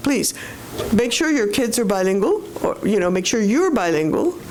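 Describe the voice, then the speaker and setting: A woman with a fairly high pitch comes through audible room echo and noticeable background noise. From Panama. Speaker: professor. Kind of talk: panel discussion. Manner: talkative.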